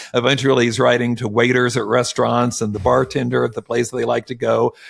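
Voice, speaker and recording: This man speaks very fast. Behind him there is noticeable background noise. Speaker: author. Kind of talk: interview answer. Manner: excited.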